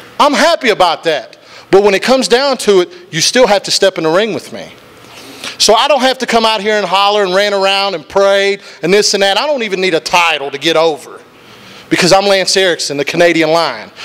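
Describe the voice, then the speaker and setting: Speaking with an Appalachian accent, a man uses a high pitch, lively intonation and a fairly quick pace. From Wyoming County, West Virginia; West Virginia. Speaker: professional wrestler. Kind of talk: wrestling promo. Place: studio. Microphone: handheld.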